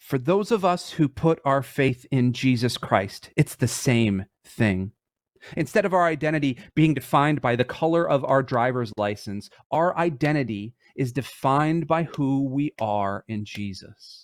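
An unremarkable speaking voice, a man with an American accent, fairly high-pitched for a man, lively intonation, fairly slow pace, dry, close sound with no echo. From Michigan, US. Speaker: church ministry director. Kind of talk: sermon. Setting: live stream. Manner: casual.

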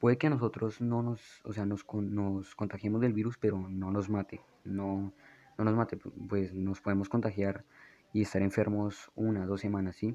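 In a dark, mellow tone, a man speaks at a fairly low pitch with flat, monotone intonation. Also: moderate pace. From Colombia, Bogotá. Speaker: podcast host. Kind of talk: solo monologue. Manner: halting, many fillers.

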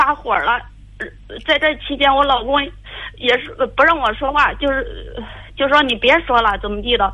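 Long, frequent pauses run through the high-pitched speech of a woman. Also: ordinary pitch variation, moderate pace. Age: 30s. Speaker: caller seeking relationship advice. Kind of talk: phone-in advice call. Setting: phone call. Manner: halting.

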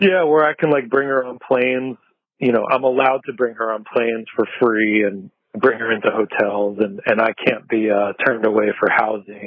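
A normal speaking voice from a man at medium pitch, with ordinary pitch variation and a moderate pace. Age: 40s. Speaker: skateboard journalist and talk show host. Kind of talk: casual chat. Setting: outdoors on patio, remote call.

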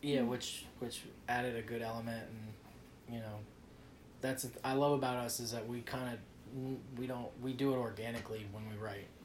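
With an American accent, a man speaks at medium pitch in a monotone, flat intonation, with audible room echo and noticeable background noise. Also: moderate pace. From New Jersey. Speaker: rock band guitarist and singer. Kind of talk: casual interview chat.

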